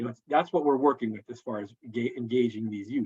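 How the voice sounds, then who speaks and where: The recording of this man is dry and close, with no echo. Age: 50s. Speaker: counselor presenting to school counselors. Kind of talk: live presentation. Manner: fast; casual, halting with repetitions.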